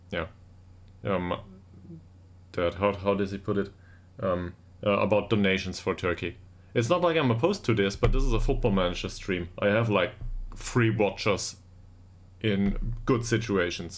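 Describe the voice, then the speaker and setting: A man with a German accent talks at a moderate pace in a fairly low pitch. His pitch varies in an ordinary way, broken by long, frequent pauses. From Germany. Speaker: video game streamer. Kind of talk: live stream chat. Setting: home live stream. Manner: halting.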